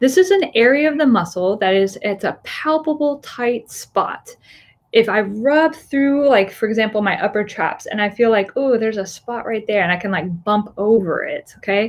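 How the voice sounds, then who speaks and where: Lively intonation marks this woman's fairly high voice as she speaks at a moderate pace with an American accent. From Florida. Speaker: physical therapist. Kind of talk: webinar lecture. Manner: casual with fillers. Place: office. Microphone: webcam.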